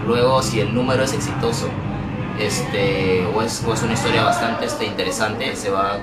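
Clear music plays in the background. Over it, a man speaks at a fairly low pitch.

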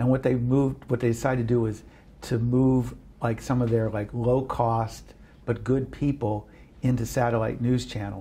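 With an American accent, a man speaks at a moderate pace in a dark, mellow, somewhat breathy tone, his intonation monotone and flat, with long, frequent pauses. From Western Pennsylvania, Washington County near Pittsburgh; Western Pennsylvania. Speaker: media and public affairs firm head; interviewee. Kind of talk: casual interview chat. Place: office. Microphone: lapel.

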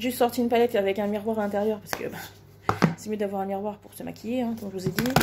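Against loud background noise, a woman with a fairly high pitch speaks very fast in a monotone, flat intonation with hardly any pauses. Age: 30s. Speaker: beauty vlogger. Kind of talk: makeup tutorial. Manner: hesitant, many fillers. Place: home room. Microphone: phone near.

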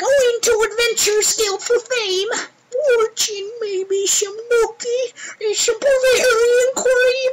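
Someone puts on a character voice and speaks at a very slow pace. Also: man, extremely high pitch for a man. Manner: teasing, knowing.

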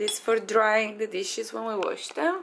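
There is light noise behind this woman's voice. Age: 20s. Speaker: travel vlogger. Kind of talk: casual vlog chat. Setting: at home, filming video.

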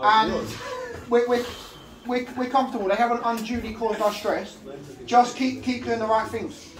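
A man speaks at a moderate pace, pausing long and often, with noticeable background noise behind him. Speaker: football manager. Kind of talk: half-time team talk. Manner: blunt, swearing, direct. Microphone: camera far.

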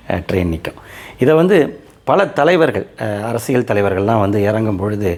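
A man with a fairly low pitch speaks against noticeable background noise. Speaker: local history YouTuber. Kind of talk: talk to camera about local history. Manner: halting, with pauses and fillers.

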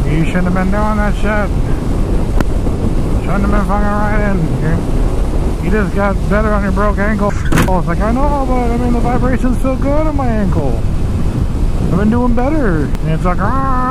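At a moderate pace, the speaker leaves long, frequent pauses in a dry sound with no echo, against loud background noise. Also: woman. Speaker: motorcycle vlogger. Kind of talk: casual vlog chat. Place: motorbike. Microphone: helmet.

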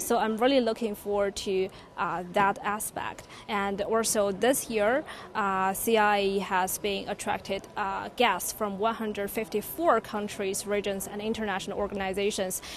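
With a Chinese accent, a woman talks at a fairly slow pace, the sound dry with no echo and light noise behind her. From China. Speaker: journalist. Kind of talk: short interview. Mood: upbeat, friendly. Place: hall. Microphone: handheld.

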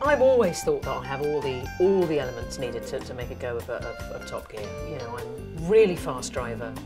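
Clear music plays in the background as a woman speaks. Her pace is fairly quick, with hardly any pauses. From England. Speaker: TV presenter. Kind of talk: interview answer. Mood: playful, self-mocking humour. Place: booth.

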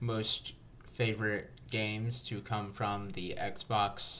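A man speaks at a very slow pace in a monotone, flat delivery, with light background noise behind him. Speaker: gaming video host. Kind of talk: casual let's play intro chat. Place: home room.

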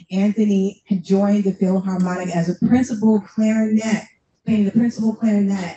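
A woman's warm, animated, somewhat breathy voice holds very even loudness amid light background noise and audible room echo. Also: medium pitch for a woman, moderate pace. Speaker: panel moderator, nonprofit executive director. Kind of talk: panel discussion. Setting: stage with audience. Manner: warm and animated. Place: hall.

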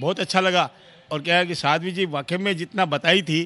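Here a man talks at a high pitch in a bright, sharp tone. He moves at a fairly slow pace with ordinary pitch variation. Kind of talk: interview answer. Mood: appreciative, earnest. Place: hall. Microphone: handheld.

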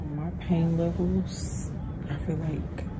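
Over loud background noise, a woman speaks in a weary tone. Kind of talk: casual vlog chat. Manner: weary, pained post-surgery voice. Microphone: phone near.

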